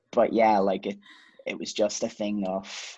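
Against a quiet background, a man with a Donegal accent speaks at a moderate pace in a fairly low pitch and a dark, mellow tone. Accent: Donegal Irish. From Ireland, County Donegal. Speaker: singer-songwriter. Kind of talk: casual chat.

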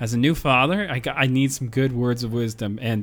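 Recorded very cleanly against a silent background, a man uses a plain, everyday voice at medium pitch, with ordinary pitch variation and a moderate pace. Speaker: podcast host. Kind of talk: casual chat.

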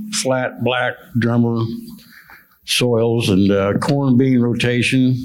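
Audible room echo surrounds a man who speaks at a very slow pace with fairly even intonation and long, frequent pauses. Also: medium pitch for a man. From central Illinois. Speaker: farmer. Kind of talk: panel discussion.

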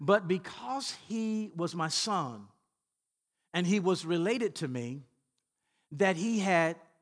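Over a quiet background, a man with a Southern US accent speaks in a high pitch with lively intonation. His pace is very slow, with long, frequent pauses. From Louisiana, US South. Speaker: pastor. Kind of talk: sermon. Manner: repetitive stammering restarts.

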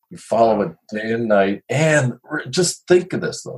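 A somewhat breathy voice with an American accent, at a moderate pace, with very wide pitch swings. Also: man. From Chicago. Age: 60s. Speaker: retired photojournalist and astronomy writer. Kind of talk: interview.

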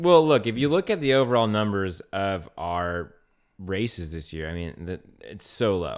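In a very clean recording with a silent background, a man with an American accent speaks at a moderate pace, with big swings in loudness and very wide pitch swings. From Louisiana, US. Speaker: podcast co-host, race caller and race organizer. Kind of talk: casual banter podcast.

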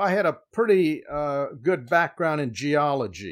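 This man has an unremarkable speaking voice at a fairly high pitch. He talks at a fairly slow pace. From Miami, Florida. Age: 60s. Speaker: knife maker. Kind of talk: casual interview chat.

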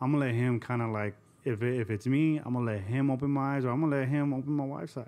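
With an American accent, a man speaks very fast at a medium pitch. His tone is dark and mellow, his intonation fairly even. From Southern California (Covina, San Gabriel Valley). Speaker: army veteran. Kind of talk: testimony.

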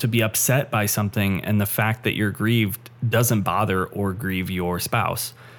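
Using a normal speaking voice, a man talks at a fairly slow pace with ordinary pitch variation. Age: 20s. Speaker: podcast co-host. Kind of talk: casual interview conversation.

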